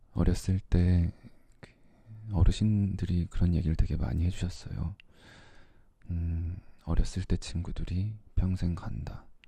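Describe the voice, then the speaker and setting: Very deep and low, a man's dark, mellow voice comes out somewhat breathy and fairly even in intonation. He goes at a very slow pace with long, frequent pauses. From Korea. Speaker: ASMR creator. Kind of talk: casual talk to camera. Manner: soft-spoken.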